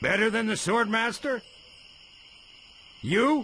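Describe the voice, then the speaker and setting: A man's put-on character voice, gruff and high-pitched, at a fairly slow pace over clear background noise. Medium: cartoon. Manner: gruff, insulting.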